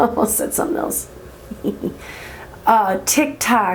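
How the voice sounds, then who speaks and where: Through noticeable background noise, a woman with a fairly high pitch and ordinary pitch variation speaks at a moderate pace. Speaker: indie author. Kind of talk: casual talk to camera. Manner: quiet.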